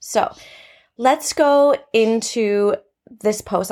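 The recording is very clean, with a silent background. A woman with a Canadian accent speaks with ordinary pitch variation. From Canada. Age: 30s. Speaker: podcast host and teacher. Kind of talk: casual solo podcast talk.

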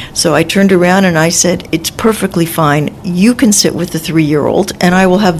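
A woman with an American accent speaks in a fairly low pitch amid noticeable background noise. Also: very even loudness. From Los Angeles, California. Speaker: author and former caregiver. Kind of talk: interview storytelling. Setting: medical center studio.

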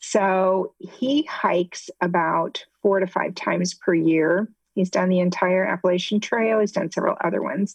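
An unremarkable speaking voice with an American accent moves at a moderate pace with hardly any pauses, ordinary pitch variation and very even loudness. The sound is dry and close, with no echo. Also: woman, medium pitch for a woman. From US Midwest, Ohio. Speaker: retired nurse and patient advocate. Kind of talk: testimony.

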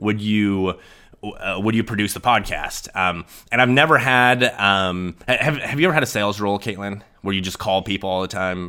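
A man with a Midwestern American accent, fairly low pitch and a bright, sharp tone, at a moderate pace with ordinary pitch variation, on a very clean recording with a silent background. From rural western Nebraska. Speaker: podcast co-host. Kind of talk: casual chat. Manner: halting, many fillers.

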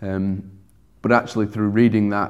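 A man speaks with a Sheffield accent. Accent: broad English (Sheffield). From Sheffield, northern England. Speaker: churchgoer sharing conversion story. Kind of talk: testimony. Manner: hesitant, many fillers.

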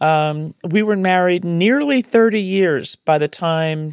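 A woman in a New Jersey accent at a very slow pace, with ordinary pitch variation, in a dry, close sound with no echo on a very clean recording with a silent background. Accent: New Jersey American. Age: 60s. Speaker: podcast host. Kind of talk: personal storytelling monologue.

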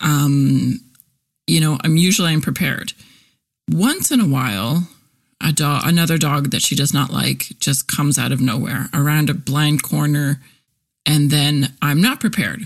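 A woman speaks at a moderate pace with a very deep, low pitch and vocal fry. Her loudness stays very even, and her pitch varies in an ordinary way. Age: 40s. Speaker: podcast host and copywriter. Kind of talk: casual monologue. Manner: animated.

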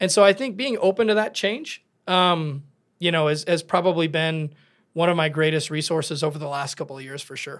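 In a very clean recording with a silent background, a man talks at a fairly quick pace in an energetic tone, his fairly high pitch showing ordinary variation. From southern Minnesota, rural. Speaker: construction company owner. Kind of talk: interview conversation.

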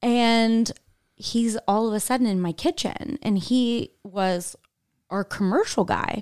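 With a Midwestern American accent, a woman speaks at a very slow pace and a fairly high pitch, showing ordinary pitch variation, in a dry, close sound with no echo on a very clean recording against a silent background. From Indianapolis, Indiana. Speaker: marketing executive and former commercial actress. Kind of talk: casual interview chat.

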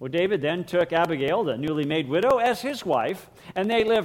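At a moderate pace, the words come in an American accent. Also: man. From United States. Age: 60s. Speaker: pastor. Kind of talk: sermon. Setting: church.

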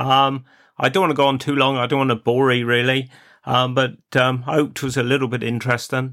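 In a Cornish accent, the speaker talks at a very fast pace with very even loudness and a monotone, flat intonation. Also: man, medium pitch for a man. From Cornwall. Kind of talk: casual podcast monologue.

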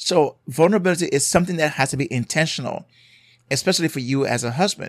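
A man at a fairly quick pace with a Jamaican accent and ordinary pitch variation, on a very clean recording with a silent background. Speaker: marriage therapist and podcast host. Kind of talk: solo podcast episode on marriage advice. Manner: emphatic, repeats for emphasis.

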